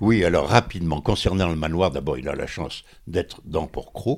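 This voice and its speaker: This man's voice is very deep and low, with vocal fry. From France, Port-Cros island. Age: 90s. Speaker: hotel owner. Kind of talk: interview. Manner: halting.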